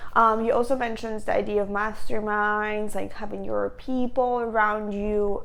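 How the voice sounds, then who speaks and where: A woman with a non-native accent at a fairly slow pace, hardly any pauses, and audible room echo. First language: not English. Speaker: lifestyle vlogger. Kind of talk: casual talk to camera. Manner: casual, filler-heavy with repetitions.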